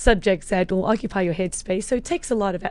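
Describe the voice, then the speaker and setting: This woman has a medium-pitched voice with a slight South African accent. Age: 40s. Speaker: health and fitness coach. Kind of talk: podcast interview.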